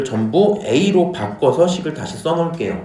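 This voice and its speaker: The voice swings very widely in pitch. Audible room echo and noticeable background noise fill the recording. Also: man. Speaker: math teacher. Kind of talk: lecture.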